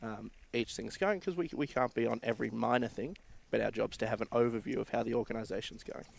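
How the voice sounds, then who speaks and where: Talking very fast, a man comes through with an Australian accent. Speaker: board member of a volunteer sports organisation. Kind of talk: live stream interview. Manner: halting, with many fillers and repeats.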